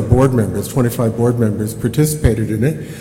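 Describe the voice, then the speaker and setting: A man at a medium pitch talks with lively intonation, with audible room echo and noticeable background noise. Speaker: organization chief executive. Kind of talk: business report presentation. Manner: loud; fast.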